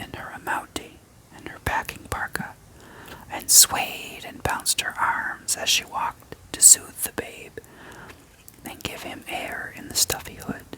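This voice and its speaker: Whispering at a very slow pace, the speaker is heard against noticeable background noise. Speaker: ASMR creator reading own written story. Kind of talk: whispered story reading (ASMR). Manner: whispered, soft.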